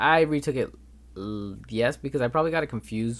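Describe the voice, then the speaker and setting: On a very clean recording with a silent background, a man with an American accent speaks at medium pitch with lively intonation. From Los Angeles, California. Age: 20s. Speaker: podcast host, college student. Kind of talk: solo podcast monologue.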